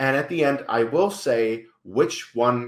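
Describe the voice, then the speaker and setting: Speaking with a Dutch accent, a man of medium pitch sounds animated. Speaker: YouTuber and film reviewer. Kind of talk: casual video commentary.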